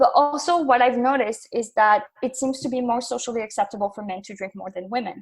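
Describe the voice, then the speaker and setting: A woman talks at a very fast pace with hardly any pauses, a high pitch, ordinary pitch variation, and big swings in loudness. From northern France, near Belgian border. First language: French. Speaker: graduate researcher on military gender. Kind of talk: podcast interview.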